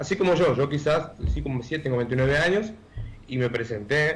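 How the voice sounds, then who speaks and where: A somewhat breathy man's voice with a fairly high pitch and lively intonation. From Argentina, Chaco. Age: 20s. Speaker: candidate for public office. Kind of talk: radio interview. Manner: hesitant, many fillers.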